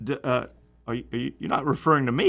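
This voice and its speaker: A man rattles off his words at a very fast pace with ordinary pitch variation. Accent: strong Southern US. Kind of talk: casual, conversational radio or show banter.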